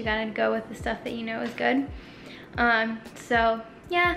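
Music plays in the background. A woman talks over it at a moderate pace. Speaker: vlogger. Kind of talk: casual vlog chat. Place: kitchen. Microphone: phone near.

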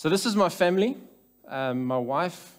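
Faint music lingers in the background. Over it, a man talks. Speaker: speaker. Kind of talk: conference talk. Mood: light humorous opening. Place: church. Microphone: headset.

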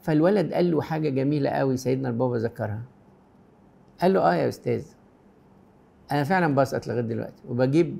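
Fairly quick speech in an Egyptian accent with a dark, mellow tone and long, frequent pauses. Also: man, medium pitch for a man. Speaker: Coptic priest answering viewer questions. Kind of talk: pastoral advice answering read-out questions. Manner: warm, gentle. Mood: warm, gentle, reassuring. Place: studio.

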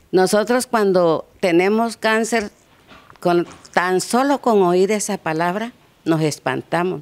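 Very slowly, a woman speaks with very even loudness and ordinary pitch variation. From Mexico, Guerrero coast. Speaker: cancer survivor, support group member. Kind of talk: news interview. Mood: calm, earnest, advising. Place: garden. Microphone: handheld.

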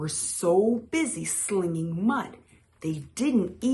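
The intonation is lively. The reading voice is unforced.

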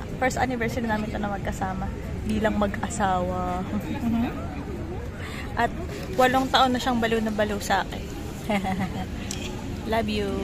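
A woman speaks at a moderate pace with long, frequent pauses. The sound is dry with no echo, and crowd noise fills the background. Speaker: vlogger celebrating anniversary. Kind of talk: casual vlog chat. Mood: playful, affectionate. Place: cafe.

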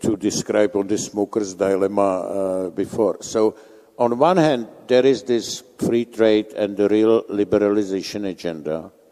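A man speaks with a Czech accent at a fairly low pitch, with a dark, mellow tone and ordinary pitch variation. His pace is fairly slow, and the background is quiet. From Czech Republic. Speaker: conference moderator. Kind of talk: panel moderation. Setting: stage with audience. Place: hall.

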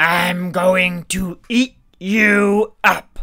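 Shouting in a raspy, put-on character voice at middle pitch. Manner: shouting, threatening.

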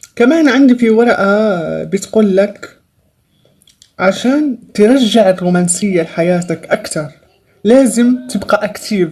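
Against a quiet background, a woman speaks at a medium pitch. Her pace is very slow. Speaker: tarot reader. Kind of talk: tarot reading. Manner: hesitant with many fillers. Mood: upbeat, encouraging. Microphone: phone near.

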